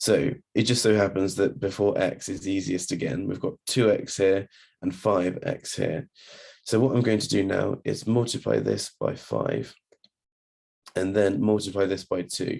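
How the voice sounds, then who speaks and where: A man speaks at a fairly slow pace with a fairly low pitch, ordinary pitch variation, and vocal fry. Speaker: maths tutor. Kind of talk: maths tutorial narration. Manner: hesitant, casual.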